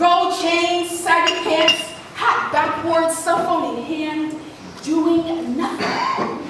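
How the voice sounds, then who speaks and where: Amid noticeable background noise, a woman speaks very slowly at an extremely high pitch with fairly even intonation. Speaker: spoken word poet. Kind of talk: spoken word performance.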